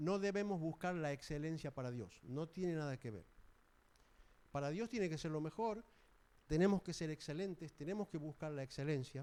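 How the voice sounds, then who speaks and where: With a dark, mellow tone, a man talks at a moderate pace in a fairly high voice with ordinary pitch variation. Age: 70s. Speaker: preacher. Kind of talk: sermon.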